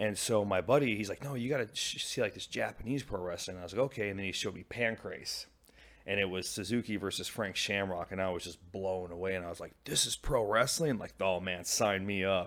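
A man with an American accent talks at a fairly quick pace and a fairly low pitch with ordinary pitch variation, on a very clean recording with a silent background. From US Pacific Northwest (Washington State). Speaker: professional wrestler. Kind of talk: interview. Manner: halting, many fillers.

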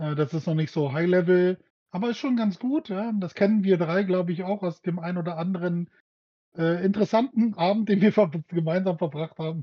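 A man talks at a fairly quick pace. His voice sits high in pitch. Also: ordinary pitch variation. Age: middle-aged. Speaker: podcast co-host. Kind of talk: casual chat.

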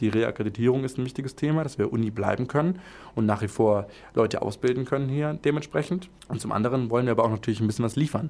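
Very fast delivery with ordinary pitch variation. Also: man, medium pitch for a man. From Friedrichshafen, southern Germany (Lake Constance). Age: 20s. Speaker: student vice president at a university. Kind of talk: casual interview chat.

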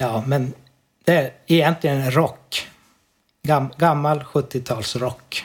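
A man speaks at a very slow pace in a fairly high, somewhat breathy voice, leaving long, frequent pauses. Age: 40s. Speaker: amateur musician. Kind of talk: casual interview. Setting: Skype call.

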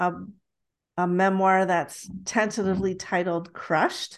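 A woman speaks with a Canadian accent at a medium pitch. The background is quiet. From Toronto, Canada. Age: 50s. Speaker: podcast host and author. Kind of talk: casual chat. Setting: video call.

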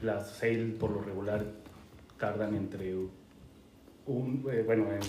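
Against music in the background and audible room echo, a man with a Mexican accent and fairly low pitch speaks at a fairly slow pace with fairly even intonation. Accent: Mexican Spanish (Jalisco). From Mexico, Guadalajara, Jalisco. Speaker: home brewer. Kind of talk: casual chat.

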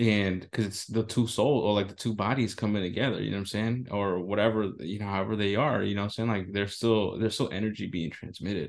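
With an American accent and fairly low pitch, a man talks at a very fast pace with fairly even intonation. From US, San Francisco Bay Area. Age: 30s. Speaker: podcast co-host. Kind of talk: casual chat.

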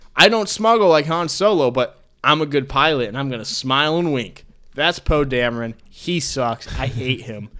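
A bright, sharp tone with lively intonation at a moderate pace. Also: man, fairly high pitch for a man. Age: 20s. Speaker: sports podcast host. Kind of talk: casual chat. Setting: studio.

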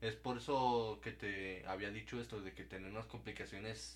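A man with a fairly low pitch talks at a moderate pace, showing ordinary pitch variation amid noticeable background noise. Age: young. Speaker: podcast guest, former schoolmate. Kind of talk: casual chat.

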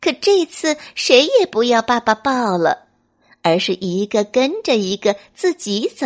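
Quiet surroundings and an unforced voice reading aloud

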